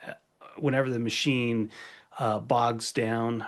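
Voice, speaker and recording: A man with an unremarkable speaking voice, medium in pitch, at a fairly slow pace with fairly even intonation. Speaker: furniture maker. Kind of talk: podcast conversation. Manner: casual.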